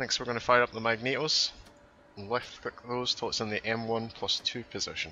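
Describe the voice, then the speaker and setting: The speaker moves at a fairly quick pace with monotone, flat intonation. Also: man, medium pitch for a man. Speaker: flight sim tutorial maker. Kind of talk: tutorial. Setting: voice over on screen recording.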